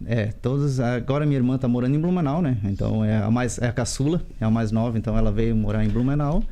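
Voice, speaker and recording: With a dark, mellow tone and very even loudness, a man speaks at a fairly quick pace in audible room echo. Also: medium pitch for a man, ordinary pitch variation, hardly any pauses. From Santa Catarina, Vale do Itajaí (Indaial). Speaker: interviewee. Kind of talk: TV interview.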